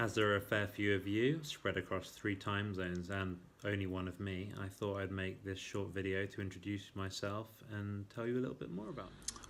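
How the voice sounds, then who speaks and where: An Englishman speaks at a fairly quick pace with an English accent. His pitch is fairly low and his intonation fairly even. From England, Birmingham (Moseley). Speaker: vlogger introducing himself. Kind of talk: casual self-introduction monologue. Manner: hesitant with fillers.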